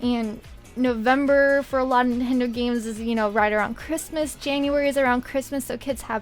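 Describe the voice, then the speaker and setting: The speaker talks at a fairly quick pace while music plays in the background. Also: woman. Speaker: gaming content creator. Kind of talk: gaming commentary voiceover.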